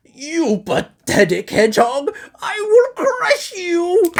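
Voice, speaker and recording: A man puts on a character voice at an extremely high pitch, swinging very widely in pitch and speaking at a very slow pace. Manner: menacing, theatrical.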